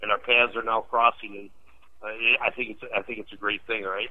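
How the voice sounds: A man's fairly low voice with little pitch movement. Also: fairly quick pace.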